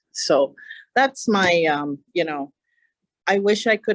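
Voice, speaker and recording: A woman in a Hawaiian accent, dry and close with no echo. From Hawaii, Kona. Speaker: county council chair. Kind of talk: public talk to an audience.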